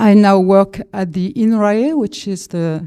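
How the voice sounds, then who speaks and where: A woman with a French accent speaks in a dark, mellow tone at medium pitch with ordinary variation, on a very clean recording with a silent background and a dry, close sound with no echo. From France. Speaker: agricultural researcher. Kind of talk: conference panel talk.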